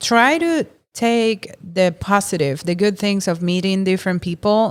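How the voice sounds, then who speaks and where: Pitch moves in an ordinary way. The recording is very clean, and the background is silent. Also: woman. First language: not English. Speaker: podcast co-host. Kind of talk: casual chat.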